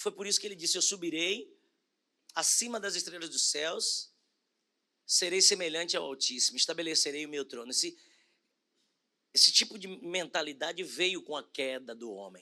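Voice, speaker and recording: A man's high-pitched voice with lively intonation, a bright, sharp tone, big swings in loudness and long, frequent pauses. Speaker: bishop preaching. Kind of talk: sermon. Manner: slow, deliberate.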